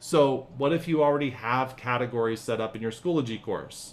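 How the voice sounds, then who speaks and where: Speaking at a fairly slow pace, a man has a plain, everyday voice at medium pitch with ordinary pitch variation. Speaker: teacher trainer. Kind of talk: tutorial.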